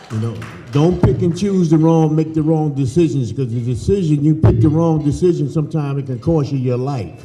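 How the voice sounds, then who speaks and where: Over music in the background and with audible room echo, a man talks at a fairly quick pace in a fairly high pitch with ordinary pitch variation. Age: 60s. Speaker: former football player. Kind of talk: speech at dinner.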